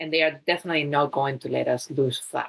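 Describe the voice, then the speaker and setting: A woman speaks with a Spanish accent. Her pace is moderate. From Spain. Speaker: fitness trainer and wellness coach. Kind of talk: talk to listeners on fitness.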